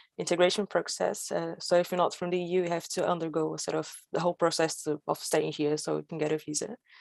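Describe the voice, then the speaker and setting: A woman with a Brazilian accent speaks at a moderate pace in a fairly low pitch, her intonation fairly even against a quiet background. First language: Portuguese. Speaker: storyteller. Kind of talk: storytelling performance. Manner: halting.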